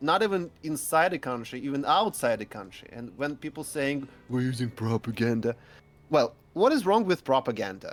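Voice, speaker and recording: A man with a Russian accent and a fairly high pitch, with music in the background. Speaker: guest. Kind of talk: casual discussion. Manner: halting.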